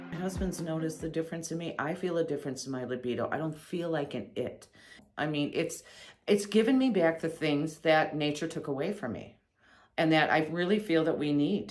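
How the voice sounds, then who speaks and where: Audible room echo surrounds a woman speaking at a fairly quick pace with a very deep, low pitch. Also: ordinary pitch variation. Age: 60s. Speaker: patient giving testimonial. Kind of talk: testimony. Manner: halting, with false starts.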